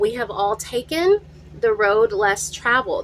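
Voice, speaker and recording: A woman talks at a very slow pace while noticeable background noise fills the recording. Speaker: tarot reader. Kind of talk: channeled tarot reading. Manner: animated.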